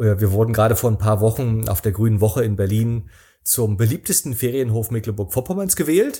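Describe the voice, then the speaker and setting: A man talks at a fairly quick pace in a medium pitch with ordinary pitch variation. His dark, mellow tone is somewhat breathy and his loudness stays very even. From East Germany, Rostock. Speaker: travel speaker and author. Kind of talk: casual interview. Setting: remote call.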